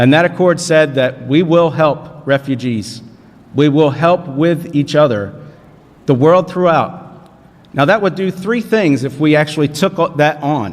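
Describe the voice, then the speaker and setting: Someone with an American accent talks at a fairly slow pace, with ordinary pitch variation. Noticeable background noise is present. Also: man, fairly high pitch for a man. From southern New Jersey. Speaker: panelist, independent congressional candidate. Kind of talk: panel forum speech.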